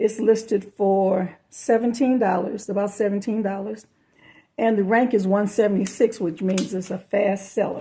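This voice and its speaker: A woman of medium pitch speaks at a fairly slow pace with ordinary pitch variation. Her tone is dark and mellow, and somewhat breathy. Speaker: part-time online reseller. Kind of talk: haul video commentary. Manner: casual, halting with fillers.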